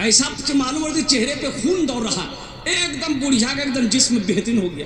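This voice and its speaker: A man with an extremely high pitch and ordinary pitch variation, over noticeable background noise. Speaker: Islamic preacher. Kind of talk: religious sermon to a live audience. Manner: humorous storytelling.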